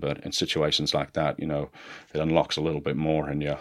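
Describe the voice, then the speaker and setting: On a very clean recording with a silent background, a man speaks at a fairly quick pace in an English Midlands accent. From West Midlands, England (Kenilworth). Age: 30s. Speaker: former special forces soldier, distiller. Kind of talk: interview storytelling. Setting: studio.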